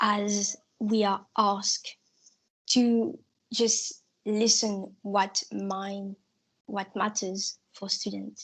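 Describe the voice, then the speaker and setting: Speaking at a very slow pace with long, frequent pauses, a woman with a non-native accent uses a somewhat breathy, medium-pitched voice and a monotone, flat intonation. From Mauritius. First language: not English. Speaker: student election candidate. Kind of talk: election hustings answer.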